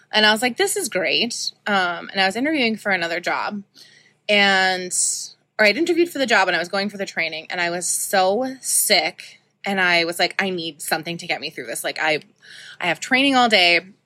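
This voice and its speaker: In a Canadian Prairies accent, a woman speaks at a fairly quick pace with a bright, sharp tone, lively intonation, and medium pitch, captured in a very clean recording with a silent background. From Saskatoon, Saskatchewan, Canada. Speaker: podcast host, shop owner. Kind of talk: personal monologue. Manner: casual, many filler ums.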